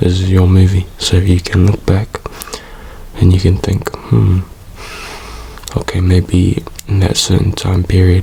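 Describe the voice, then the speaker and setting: A soft-spoken voice is heard over noticeable background noise. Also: man. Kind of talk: ASMR soft spoken comfort talk to camera. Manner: soft-spoken, relaxed, calm.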